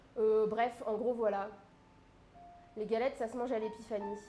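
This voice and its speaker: The speaking pace is moderate, and music plays in the background. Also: woman. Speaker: livestream cooking host. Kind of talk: casual live stream chat. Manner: hesitant with many fillers.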